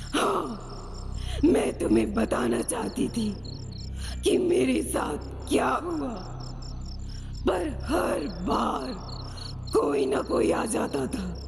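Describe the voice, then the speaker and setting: Someone uses a put-on character voice at a very slow pace. There is a clear echo and loud background noise. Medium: audio drama. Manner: mournful, urgent.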